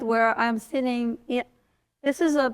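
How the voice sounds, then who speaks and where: Fairly even intonation in a Russian accent. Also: woman. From eastern Ukraine (Donbas, Donetsk). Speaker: artist. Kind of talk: panel talk about her artworks. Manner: casual, hesitant with fillers.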